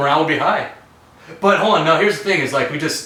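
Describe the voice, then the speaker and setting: A very fast pace and lively intonation, with audible room echo and noticeable background noise. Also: man. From Canada (Toronto). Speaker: podcast guest. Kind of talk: casual chat.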